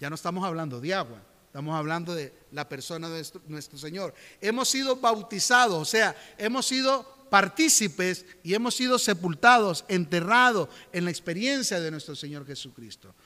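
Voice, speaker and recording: A man's high, bright, sharp voice at a moderate pace, with very wide pitch swings and big swings in loudness. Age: 50s. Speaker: pastor. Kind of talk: sermon. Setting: church.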